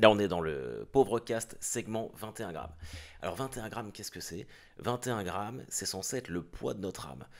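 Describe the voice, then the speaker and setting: At a moderate pace, a man with a fairly low pitch and vocal fry talks with big swings in loudness. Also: ordinary pitch variation. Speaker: podcast host; former undertaker. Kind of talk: podcast introduction. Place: car.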